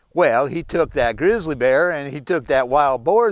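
Over a quiet background with dry sound and no echo, a man with an American accent speaks at a moderate pace and ordinary pitch variation. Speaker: storyteller. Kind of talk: folk tale storytelling. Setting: outdoors. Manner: folksy, conversational. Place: forest.

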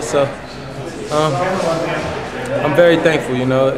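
Loud background noise sits behind a man whose speech moves at a fairly quick pace. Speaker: wrestler. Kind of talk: interview answer. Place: gym. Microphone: phone near.

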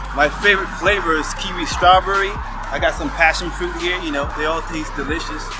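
Here a man speaks at a fairly quick pace. Music plays in the background. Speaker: fitness trainer. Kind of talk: casual vlog chat. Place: open country.

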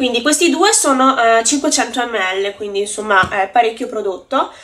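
Here a woman is talking. Her intonation is lively. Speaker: beauty vlogger. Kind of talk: casual vlog chat. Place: home room. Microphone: phone near.

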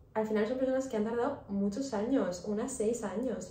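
A woman speaks in a monotone with flat intonation. Audible room echo and light background noise are present. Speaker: vlogger. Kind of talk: casual vlog chat. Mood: warm, encouraging. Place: kitchen. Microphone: phone near.

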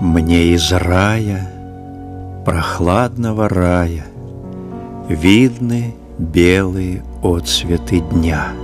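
Over music in the background, a man with a very deep, low voice speaks very slowly, with long, frequent pauses and ordinary pitch variation. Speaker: actor. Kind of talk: poetry reading.

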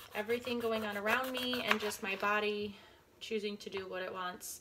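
Over light background noise, a woman speaks with a bright, sharp tone and fairly even intonation. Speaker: vlogger. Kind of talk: casual vlog chat. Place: kitchen. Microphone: phone near.

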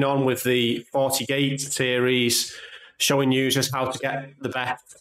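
Over a quiet background, a man speaks with audible room echo. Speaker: tech channel host. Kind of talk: tutorial.

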